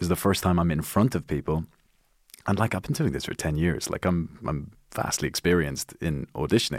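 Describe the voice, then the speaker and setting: A man with a very deep, low pitch and vocal fry speaks at a fairly quick pace with ordinary pitch variation in a very clean recording over a silent background. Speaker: actor and writer. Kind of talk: casual chat. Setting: studio. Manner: laughs often, casual.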